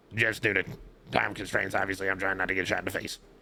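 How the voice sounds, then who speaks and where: A man's put-on character voice, raspy and very deep, delivered at a very fast pace in a flat monotone. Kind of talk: courtroom testimony. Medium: machinima. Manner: rambling, filler-heavy, deferential.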